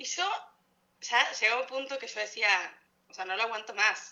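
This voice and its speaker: A woman speaks with an Argentine accent. Her intonation is lively. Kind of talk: casual chat.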